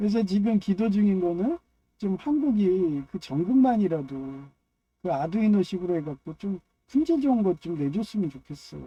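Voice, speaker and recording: A strong Chungcheong accent at a moderate pace. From Chungcheong, Korea. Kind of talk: casual monologue. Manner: rambling, filler-heavy.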